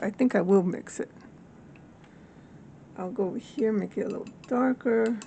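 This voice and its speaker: Over noticeable background noise, a woman talks fairly high in pitch, moving at a moderate speed with ordinary variation in her pitch. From Latin American heritage. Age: 60s. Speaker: hobby watercolor artist. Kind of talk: casual talk to camera.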